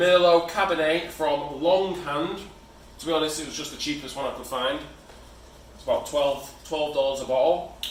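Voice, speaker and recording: Audible room echo and noticeable background noise, with a British accent. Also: man. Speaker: home cook. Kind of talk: cooking tutorial. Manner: casual.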